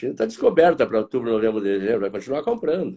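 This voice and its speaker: The voice has a dark, mellow tone with vocal fry. Its pitch swings very widely. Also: man. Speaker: market analyst. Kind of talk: interview. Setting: live stream.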